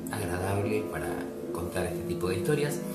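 A man talks while loud music fills the background. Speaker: journalist and radio and TV presenter. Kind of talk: casual talk to camera. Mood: warm, grateful. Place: home room. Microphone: webcam.

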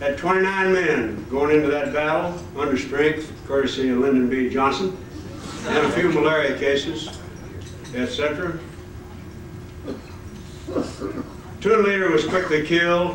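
A man speaks at a fairly high pitch and a fairly slow pace, leaving long, frequent pauses with ordinary pitch variation. Audible room echo and light background noise fill the recording. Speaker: war veteran. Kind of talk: speech at a reunion. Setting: hotel ballroom. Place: hall. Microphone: podium.

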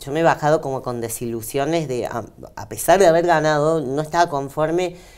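A woman speaks with a very deep, low pitch at a moderate pace. Her pitch varies in an ordinary way. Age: 40s. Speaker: bodybuilding athlete. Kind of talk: interview. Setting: radio studio. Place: studio. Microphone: lapel.

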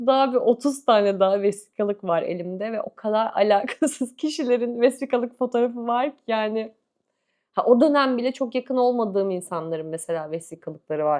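A woman with a fairly high pitch talks at a moderate pace with lively intonation. Her loudness swings widely. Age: 30s. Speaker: book and lifestyle YouTuber. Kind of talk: casual chat to camera. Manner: animated.

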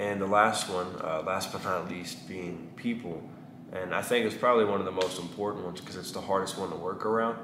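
A man with a Texan accent speaks in a very deep, low voice at a fairly quick pace. Noticeable background noise can be heard. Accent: Texan Southern US. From East Texas, US (small town). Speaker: barber and vlogger; barber vlogger. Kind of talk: casual vlog monologue; casual vlog chat. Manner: halting with many fillers. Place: shop.

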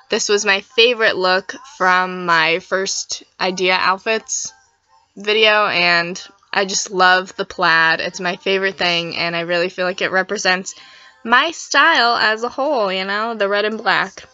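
Over music in the background, the speaker goes at a fairly slow pace with ordinary pitch variation. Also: woman, medium pitch for a woman. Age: young. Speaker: fashion vlogger. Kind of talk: casual vlog talk. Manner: casual, chatty.

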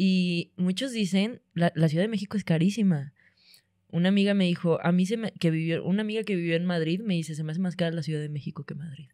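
In a dry, close recording with no echo, a woman speaks very fast with a fairly low pitch and a dark, mellow tone. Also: ordinary pitch variation. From Monterrey, northern Mexico. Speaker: comedian. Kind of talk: casual chat.

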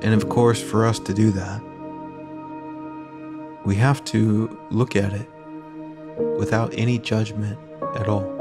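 Clear music plays in the background. The speech comes at a fairly slow pace, broken by long, frequent pauses. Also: man. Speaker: meditation guide. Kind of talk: guided meditation. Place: home room. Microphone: earbuds.

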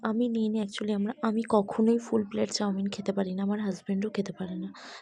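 A woman's medium-pitched, somewhat breathy voice, dark and mellow in tone, with monotone, flat intonation. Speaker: lifestyle vlogger. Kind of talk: casual vlog narration. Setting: restaurant. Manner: chatty.

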